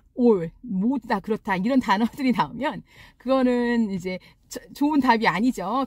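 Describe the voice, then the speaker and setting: A woman's fairly high, somewhat breathy voice with very wide pitch swings at a moderate pace, dry and close with no echo. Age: 40s. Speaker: real estate agent. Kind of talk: casual talk to camera.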